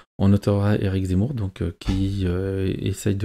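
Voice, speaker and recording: This man's voice sits very deep and low, with a dark, mellow tone. He talks at a fairly slow pace in a dry, close sound with no echo. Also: very clean recording, silent background. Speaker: YouTuber commenting on polls. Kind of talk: video commentary on poll data. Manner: hesitant, many fillers.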